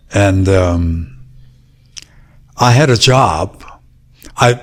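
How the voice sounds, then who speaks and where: A somewhat breathy man with a Korean accent and very wide pitch swings. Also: long, frequent pauses, very even loudness. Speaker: martial arts master. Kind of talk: interview.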